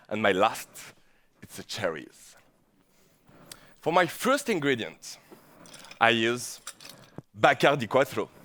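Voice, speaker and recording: A man at medium pitch speaks at a fairly slow pace with vocal fry and lively intonation. His loudness swings widely, and he takes long, frequent pauses. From southern France, Provence. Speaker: bartender. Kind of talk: competition presentation.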